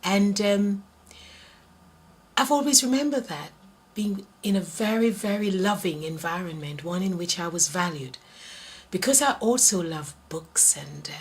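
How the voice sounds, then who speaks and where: Lively intonation in an English accent at a moderate pace, with noticeable background noise. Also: woman. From Jamaica. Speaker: interviewee. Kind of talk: interview.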